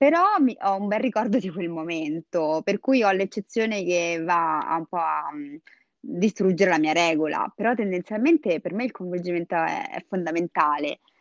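With a dry, close sound, no echo, and a quiet background, a woman speaks at a moderate pace, fairly low in pitch, with ordinary pitch variation. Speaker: Instagram creator. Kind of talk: casual chat about dating and sex. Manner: tender when recalling a memory.

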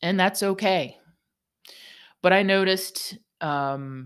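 A woman's voice on a very clean recording with a silent background. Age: 50s. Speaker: podcast host for massage therapists. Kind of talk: solo reflective monologue. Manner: halting, with many fillers and repeats.

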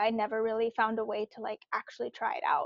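A woman with a Californian accent, fairly high-pitched, at a fairly quick pace, in a dry, close sound with no echo. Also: quiet background. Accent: Californian American English. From US West Coast, Bay Area (Cupertino). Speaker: product manager. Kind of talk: casual interview chat.

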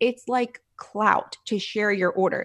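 A woman with an American accent, a plain, everyday voice, medium pitch and ordinary pitch variation, over a quiet background. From Philadelphia, US. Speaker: food blogger and restaurant coach. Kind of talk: casual interview.

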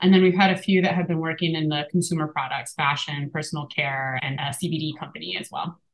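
A woman with an American accent speaks in a very deep, low pitch, somewhat breathy and with fairly even intonation. Her pace is fairly quick, with hardly any pauses. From Appalachia, US. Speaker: scientist and community lab director. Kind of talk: interview conversation. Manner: fast but clear speaker.

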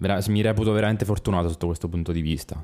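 The tone is dark and mellow, the intonation fairly even, and the recording very clean with a silent background. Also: man. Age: 30s. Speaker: photographer. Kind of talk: casual interview.

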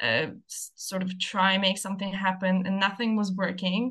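A woman's bright, sharp tone. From Moldova, then France. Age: 20s. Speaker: former coaching client. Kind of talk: casual interview.

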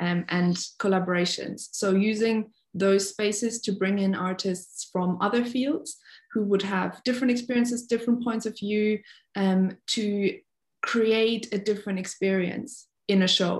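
A woman with a German accent speaks at a moderate pace in a medium, somewhat breathy voice. Her intonation is fairly even, and the recording is very clean with a silent background. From Germany, North Rhine-Westphalia. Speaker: freelance ballet dancer. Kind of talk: casual interview.

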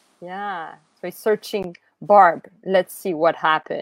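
In a dry, close recording with no echo, a woman with a Quebec accent speaks at a very slow pace. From Quebec, Montreal. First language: French. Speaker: podcast host. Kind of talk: interview. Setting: video call.

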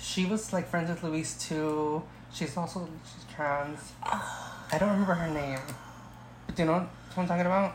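Over noticeable background noise and audible room echo, a woman with an American accent talks at a moderate pace, her fairly low pitch carrying fairly even intonation. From Oxnard, California. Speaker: podcast guest. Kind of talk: casual chat.

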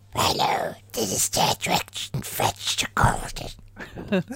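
Putting on a character voice, a man speaks raspily at a very slow pace. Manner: undead, cartoonish.

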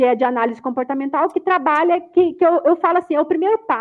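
A woman is speaking. Her pace is very fast. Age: 40s. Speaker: personal development consultant. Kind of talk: online lecture. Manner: animated.

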